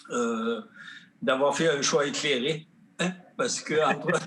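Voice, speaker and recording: A man with a Gaspésie accent, fairly high pitch, lively intonation and a fairly slow pace, over noticeable background noise. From southern Gaspésie, Quebec. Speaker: painter and sculptor, award recipient. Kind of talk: acceptance speech. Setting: virtual online gala. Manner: halting.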